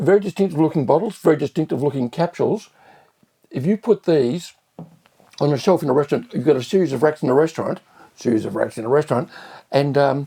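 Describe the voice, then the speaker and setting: With an Australian accent, the speaker races at a very fast pace yet leaves long, frequent pauses, using lively intonation and a dark, mellow tone in a dry, close sound with no echo. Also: man, fairly high pitch for a man. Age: 70s. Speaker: restaurateur. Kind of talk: wine tasting review.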